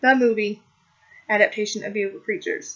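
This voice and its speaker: A woman speaks at a medium pitch. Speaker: book vlogger. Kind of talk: casual book review vlog. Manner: hesitant with fillers.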